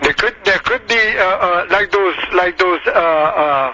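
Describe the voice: A bright, sharp tone with a non-native accent, ordinary pitch variation, and a fairly slow pace. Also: man, high pitch for a man. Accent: foreign-accented English.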